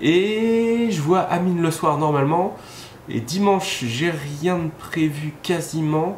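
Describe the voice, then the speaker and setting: Ordinary pitch variation, with audible room echo and noticeable background noise. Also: man. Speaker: vlogger. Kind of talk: casual vlog talk. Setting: outdoors evening walk.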